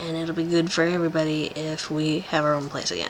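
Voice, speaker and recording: The voice is quiet and comes at a moderate pace, with noticeable background noise behind it. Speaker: vlogger. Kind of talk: casual vlog update. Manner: quiet, hushed.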